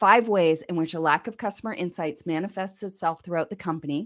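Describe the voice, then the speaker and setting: With a Canadian accent, the speaker goes at a moderate pace with ordinary pitch variation. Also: woman, quiet background. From Canada. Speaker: customer success consultant. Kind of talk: presentation.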